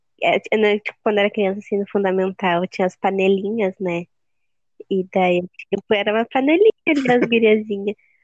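This woman has an ordinary speaking voice at medium pitch. She moves at a moderate pace with ordinary pitch variation. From Rio Grande do Sul, Brazil. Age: 19. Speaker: podcast co-host. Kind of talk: casual chat.

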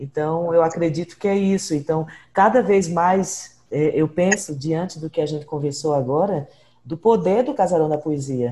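A woman speaks fairly low and somewhat breathy in a dark, mellow tone. Her pace is fairly slow. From Brazil, Northeast (born in Ceará, raised in Pernambuco). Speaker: podcast host and researcher. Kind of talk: interview.

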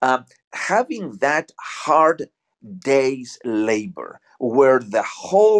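At a very slow pace, a man with a fairly high pitch speaks with lively intonation, the sound dry and close with no echo. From Argentina, Buenos Aires. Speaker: guest. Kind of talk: casual spiritual chat. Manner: halting.

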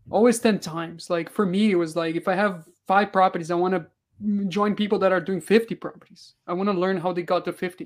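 A man with a Portuguese accent and a high pitch talks fairly quickly, hardly pausing, with fairly even intonation. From Brazil. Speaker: real estate investor. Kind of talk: interview.

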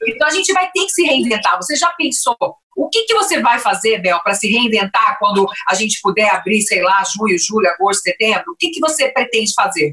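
A woman at a fairly quick pace, with very wide pitch swings. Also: fairly high pitch for a woman. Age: 50s. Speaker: podcast host, former restaurateur. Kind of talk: interview.

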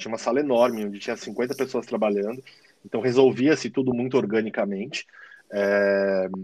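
Speaking with a São Paulo accent, a man talks at a moderate pace and medium pitch with ordinary pitch variation. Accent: Paulistano Brazilian Portuguese. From São Paulo, Brazil. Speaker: digital marketing manager. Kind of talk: casual interview. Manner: halting, many fillers.

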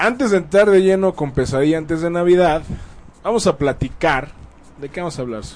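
Speaking in a Mexican accent, a man with a high voice talks fairly quickly, his loudness swinging widely and his intonation lively. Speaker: radio host. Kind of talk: casual chat.

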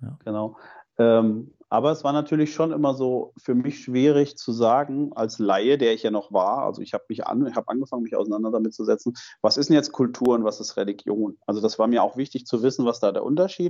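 Speaking at a fairly quick pace, a man uses a plain, everyday voice at a medium pitch with ordinary pitch variation. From Germany, Fulda (eastern Hesse). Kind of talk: interview.

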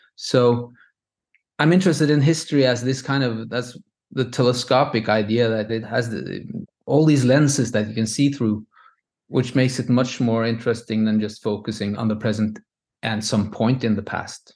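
Speaking with a Norwegian accent, a man talks at a moderate pace with a medium pitch and fairly even intonation. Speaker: composer. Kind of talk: interview. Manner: halting.

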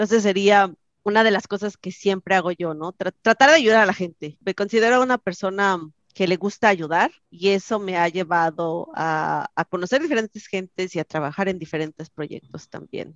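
This woman has a normal speaking voice at medium pitch. She keeps a moderate pace and ordinary pitch variation. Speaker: software engineer. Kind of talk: interview.

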